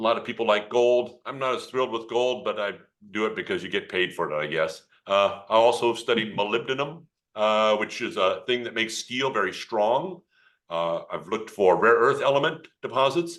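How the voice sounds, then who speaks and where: Against a quiet background, a man with a General American accent speaks at medium pitch. His pace is moderate and his intonation lively. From Colorado. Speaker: geology professor. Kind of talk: presentation. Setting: video call. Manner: animated.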